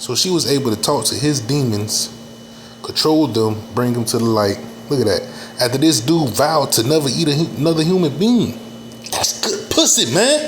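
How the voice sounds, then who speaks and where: Amid noticeable background noise and audible room echo, a man talks at a fairly quick pace with very wide pitch swings. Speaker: reaction video commentator. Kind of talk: casual reaction commentary.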